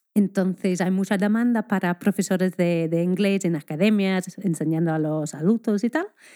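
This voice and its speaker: A woman's fairly low, dark and mellow voice with an English accent, at a moderate pace with fairly even intonation, dry and close with no echo, on a very clean recording with a silent background. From Scotland. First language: English (speaking Spanish). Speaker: primary school teacher. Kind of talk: casual interview chat.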